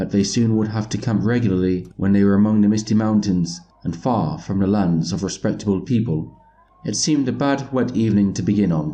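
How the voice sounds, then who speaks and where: A man with a fairly low pitch and a dark, mellow tone talks at a moderate pace with ordinary pitch variation. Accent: British. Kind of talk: audiobook reading.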